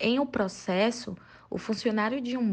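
A woman with an ordinary speaking voice, at a moderate pace, with ordinary pitch variation. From Bahia, Brazil (Salvador). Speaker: book recommender. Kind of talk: recorded book recommendation.

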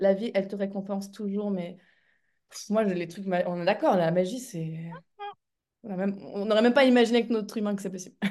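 Ordinary variation marks the pitch. A dark, mellow tone carries the voice. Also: woman. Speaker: speaker and coach. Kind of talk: casual interview chat. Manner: fast.

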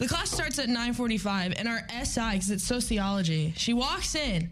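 Through noticeable background noise comes a woman's fairly high-pitched voice. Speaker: college radio co-host. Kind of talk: casual chat.

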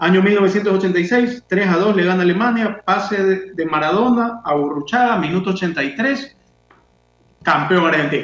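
Fairly slow in pace, a man speaks at a high pitch with ordinary pitch variation. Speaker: radio co-host. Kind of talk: radio talk show.

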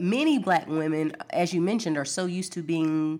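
A normal speaking voice from a woman with an American accent, fairly low in pitch, at a moderate pace, in a very clean recording with a silent background. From US South, Alabama. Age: 40s. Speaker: physician. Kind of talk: interview.

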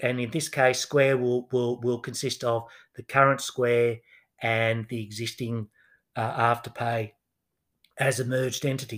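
In a very clean recording with a silent background, a man with an Australian accent speaks fairly slowly in a monotone, flat way, with long and frequent pauses. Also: medium pitch for a man. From Australia, Newcastle NSW. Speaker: finance professor. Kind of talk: interview, explanatory.

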